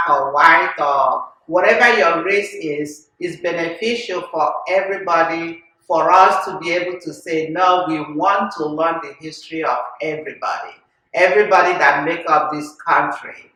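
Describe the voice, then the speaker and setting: A woman with a Nigerian accent, fairly low pitch, fairly even intonation and a moderate pace, in audible room echo. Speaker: podcast host. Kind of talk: casual chat.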